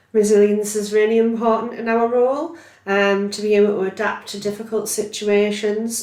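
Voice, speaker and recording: At a moderate pace, a woman with a medium pitch speaks amid noticeable background noise and audible room echo. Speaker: neurophysiology healthcare scientist. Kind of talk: podcast interview. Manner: loud.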